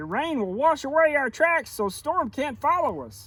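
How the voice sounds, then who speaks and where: Putting on a character voice, a man speaks at an extremely high pitch and a moderate pace. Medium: read story. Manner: confident, reassuring.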